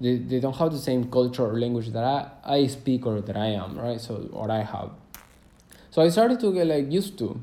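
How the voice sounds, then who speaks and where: In a Spanish accent, a man speaks at a moderate pace in a dark, mellow tone of medium pitch with ordinary pitch variation, and room echo is audible. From Argentina, Cordoba. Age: 20s. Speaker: travel podcaster. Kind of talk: casual monologue. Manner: halting, many fillers.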